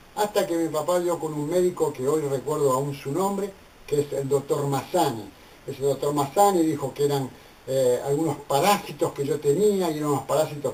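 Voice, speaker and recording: The speech moves at a fairly quick pace with ordinary pitch variation, and noticeable background noise is present. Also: man. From Argentina, Buenos Aires (Barracas). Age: 60s. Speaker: theologian and ministry leader. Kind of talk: personal testimony.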